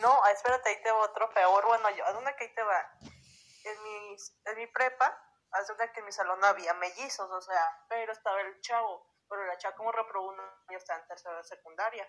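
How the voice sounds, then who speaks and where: Using an ordinary speaking voice, a woman talks at a moderate pace and medium pitch with fairly even intonation, big swings in loudness, and hardly any pauses. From Durango, Mexico. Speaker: stranger met on a voice chat app. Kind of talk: casual chat. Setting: app voice call.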